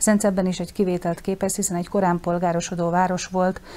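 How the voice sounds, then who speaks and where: A woman speaks with a fairly low pitch. Her intonation stays monotone and flat. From southern Slovakia, Hungarian minority. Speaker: school principal. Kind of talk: studio interview. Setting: studio.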